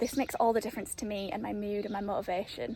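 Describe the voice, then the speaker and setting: Over noticeable background noise, a woman with an English accent talks at a fairly quick pace. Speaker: home renovation vlogger. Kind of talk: casual vlog house tour. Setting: outdoors. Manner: loud.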